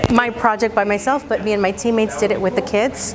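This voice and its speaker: A woman's medium-pitched voice with fairly even intonation, music playing in the background. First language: Spanish. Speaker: bilingual elementary teacher. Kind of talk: personal testimony.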